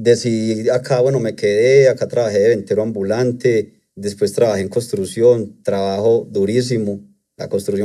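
A man's medium-pitched voice with a dark, mellow tone over a quiet background. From Colombia, Antioquia. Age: 30s. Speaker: trader; interview guest. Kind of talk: testimony. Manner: hesitant, with fillers. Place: studio. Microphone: studio mic.

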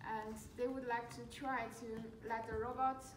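Amid light background noise and audible room echo, a woman speaks in a monotone, flat intonation. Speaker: presenter. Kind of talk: class presentation. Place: classroom.

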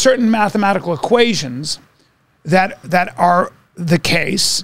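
This man speaks with a high pitch. The sound is dry, with no echo. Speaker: podcast co-host. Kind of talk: casual podcast conversation. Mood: curious, musing. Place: studio. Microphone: studio mic.

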